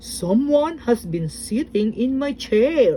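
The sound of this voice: A female-sounding, put-on character voice, high in pitch, goes at a fairly slow pace against clear background noise.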